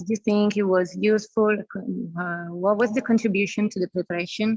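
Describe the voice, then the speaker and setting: A woman with an Italian accent, medium pitch, fairly even intonation and a moderate pace. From Italy. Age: 30s. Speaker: youth exchange group leader. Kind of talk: casual chat.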